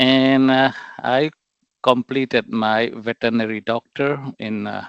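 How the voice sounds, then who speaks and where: A man speaks with a northeastern Indian accent. His pitch is medium and his intonation fairly even. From Myanmar, Chin State. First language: Mizo. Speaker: political representative, activist. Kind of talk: interview. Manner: halting, many fillers.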